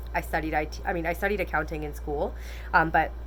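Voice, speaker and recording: A woman speaking at a very fast pace, with audible room echo. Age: 20s. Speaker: weight loss vlogger. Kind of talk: casual vlog monologue. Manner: animated.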